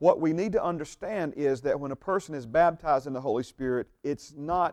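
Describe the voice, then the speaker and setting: A man with an American accent talks at a fairly quick pace, his intonation lively. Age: 50s. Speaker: pastor. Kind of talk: bible teaching sermon. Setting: church. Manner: hesitant, many fillers.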